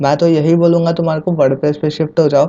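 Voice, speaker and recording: This man's voice sits at a fairly high pitch. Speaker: YouTube tech tutor. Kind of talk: tutorial. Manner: casual, conversational; quieter than usual.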